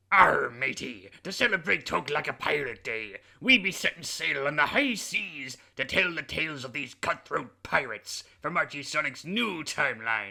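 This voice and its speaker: A man's put-on character voice, fairly high in pitch, at a moderate pace with hardly any pauses. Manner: jovial, theatrical.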